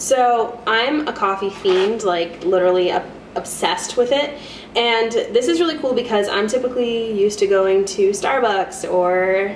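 With audible room echo and light background noise, a woman talks at a moderate pace with ordinary pitch variation. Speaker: student vlogger. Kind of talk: casual vlog chat, product review. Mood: cheerful, playful. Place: kitchen. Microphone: camera far.

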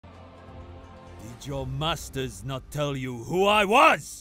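A man puts on a raspy character voice at medium pitch for a man, speaking very slowly over faint background music. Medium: voice reel. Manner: stern, intense.

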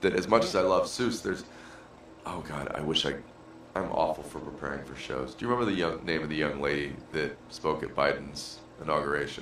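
A man's very deep, low voice with ordinary pitch variation, over noticeable background noise. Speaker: podcast co-host. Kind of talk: casual chat. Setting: studio.

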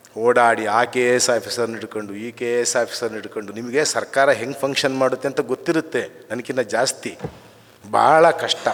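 A man speaks at a medium pitch with fairly even intonation. Noticeable background noise is present. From Karnataka, semi-urban workers' colony. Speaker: writer and scholar. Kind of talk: memorial speech. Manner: halting.

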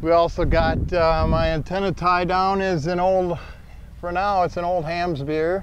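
Fairly slow, monotone, flat speech with an American accent, in a dry sound with no echo over light background noise. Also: man, high pitch for a man. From Minnesota. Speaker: van owner and customizer. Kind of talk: casual show-and-tell tour. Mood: relaxed, proud. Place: open country. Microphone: camera far.

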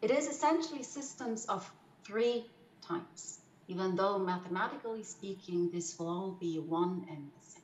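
Delivered at a moderate pace, the voice is somewhat breathy with lively intonation and big swings in loudness, heard with audible room echo. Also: woman. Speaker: mathematical physicist presenting. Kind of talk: lecture. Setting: video call. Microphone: webcam.

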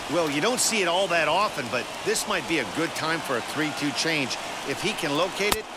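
A man at high pitch and moderate pace, with very even loudness, ordinary pitch variation, and noticeable background noise. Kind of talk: live baseball commentary, analysis. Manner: conversational, explanatory.

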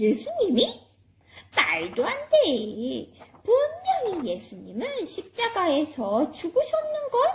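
A cartoonish character voice sits at an extremely high pitch. It moves at a very slow pace. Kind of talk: children's church puppet show. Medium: puppet.

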